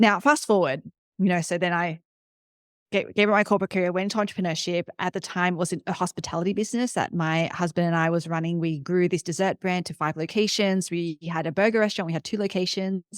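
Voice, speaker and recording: Very fast speech in an Australian accent with ordinary pitch variation and a dry, close sound with no echo. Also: woman, fairly low pitch for a woman. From Australia, Sydney. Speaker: startup CEO and entrepreneur. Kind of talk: interview. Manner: fast, with many fillers.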